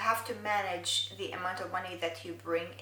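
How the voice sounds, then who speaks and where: A woman speaks with an Arabic accent. There is audible room echo. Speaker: beauty vlogger. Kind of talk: casual vlog monologue.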